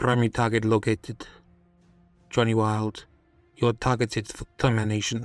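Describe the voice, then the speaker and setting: Over faint background music, a man uses a robotic, put-on character voice at a medium pitch, speaking at a moderate pace in a flat monotone with long, frequent pauses. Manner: menacing, mechanical.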